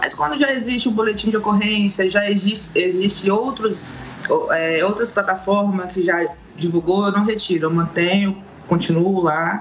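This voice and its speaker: A woman speaks at a moderate pace with ordinary pitch variation and very even loudness, with faint music in the background. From Brazil, Minas Gerais (Governador Valadares); Minas Gerais, Brazil. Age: 30s. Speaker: social media activist against domestic violence; remote guest. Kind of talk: interview. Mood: earnest, serious topic. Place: home room. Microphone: video call.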